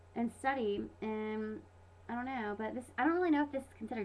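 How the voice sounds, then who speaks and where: A woman's voice with noticeable background noise. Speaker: vlogger. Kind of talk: casual vlog monologue. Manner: fast; animated.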